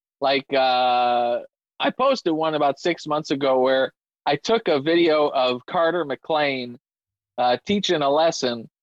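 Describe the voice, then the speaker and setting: An ordinary speaking voice from a man, fairly high in pitch, with ordinary pitch variation, very even loudness, and a fairly slow pace. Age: 30s. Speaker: drummer and content creator. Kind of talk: casual interview chat.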